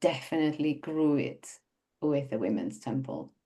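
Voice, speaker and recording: With a non-native accent, a woman speaks in a very deep, low pitch and a dark, mellow tone against a quiet background. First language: not English. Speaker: website designer. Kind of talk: podcast interview.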